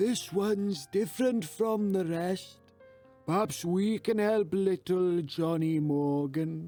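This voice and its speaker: A man's put-on character voice, high-pitched and fairly slow, over faint background music. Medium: read story. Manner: calm, steady.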